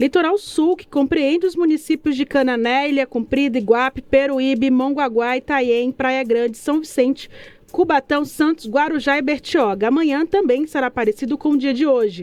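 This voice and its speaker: A high-pitched woman's voice at a moderate pace with hardly any pauses. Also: ordinary pitch variation, dry, close sound with no echo. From Brazil, Salvador, Bahia. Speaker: radio news presenter. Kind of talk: weather report.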